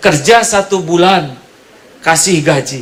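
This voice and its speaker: Amid noticeable background noise, a man speaks in a high voice with a West Javanese accent. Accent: Sundanese. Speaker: Islamic preacher. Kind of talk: humorous religious sermon. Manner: joking, lively.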